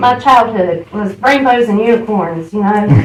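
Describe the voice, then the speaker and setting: A woman with a Southern US accent, at a moderate pace. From US South, Charlotte, North Carolina. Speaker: AA speaker. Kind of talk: recovery testimony.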